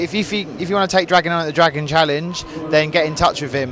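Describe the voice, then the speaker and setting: An ordinary speaking voice, pitch shifting in an ordinary way. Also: man. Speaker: interviewer, channel host. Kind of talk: interview questions at an exhibition.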